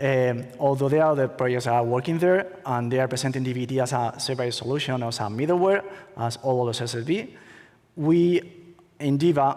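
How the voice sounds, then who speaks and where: A man with a Spanish accent talks at a fairly quick pace and a medium pitch. His pitch varies in an ordinary way, and room echo is audible. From Spain. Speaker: attorney, conference speaker. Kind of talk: conference talk. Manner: halting, many fillers.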